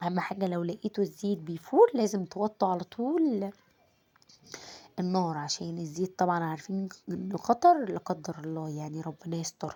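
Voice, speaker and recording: A woman speaks with an Egyptian accent at a fairly low pitch and a moderate pace. The recording is very clean, with a silent background. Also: ordinary pitch variation. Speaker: home cooking vlogger. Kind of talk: cooking tutorial. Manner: casual, chatty.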